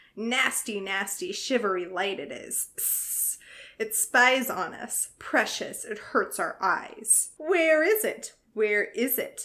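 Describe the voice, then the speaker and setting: Putting on a character voice, a woman uses a raspy, hissing sound at a high pitch, with very wide pitch swings and a fairly slow pace. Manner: wheedling, fearful.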